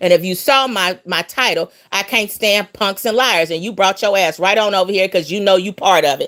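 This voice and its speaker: A woman's angry voice at a fairly quick pace with lively intonation, on a very clean recording with a silent background. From US West Coast, Los Angeles. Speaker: livestream host. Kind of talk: livestream chat, ranting. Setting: live stream. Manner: angry, confrontational.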